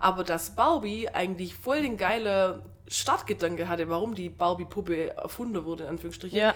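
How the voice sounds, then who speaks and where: A woman talks at a fairly quick pace with a medium pitch and ordinary pitch variation. Noticeable background noise runs behind her. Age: 30s. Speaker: podcast co-host. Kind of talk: casual chat.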